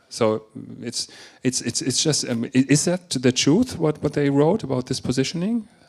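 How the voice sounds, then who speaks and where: Speaking at a moderate pace with lively intonation, the voice carries a German accent. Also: man, fairly high pitch for a man. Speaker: education and marketing speaker. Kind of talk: panel discussion.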